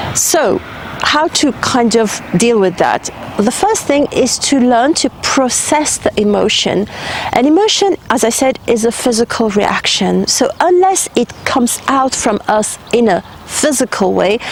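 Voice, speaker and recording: Over noticeable background noise, a woman with a high pitch speaks at a fairly slow pace, her intonation lively and her loudness very even. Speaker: spiritual healer and guide. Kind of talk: advice monologue to camera. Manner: conversational, with fillers.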